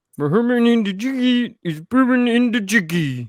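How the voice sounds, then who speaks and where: In a put-on character voice, someone mumbles at a moderate pace. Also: man, extremely high pitch for a man. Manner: garbled, hard to understand.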